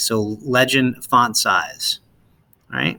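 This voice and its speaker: A man's bright, sharp voice at medium pitch. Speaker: science teacher. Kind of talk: tutorial. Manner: hesitant with fillers.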